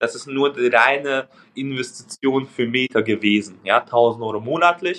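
With a Hungarian accent, a man speaks at a moderate pace and a medium pitch. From Hungary. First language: Hungarian (speaking German). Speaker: recruiting agency co-founder. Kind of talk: interview.

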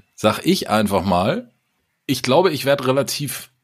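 A man speaks in an energetic tone. His pitch swings very widely. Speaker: podcast co-host. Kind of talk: casual chat.

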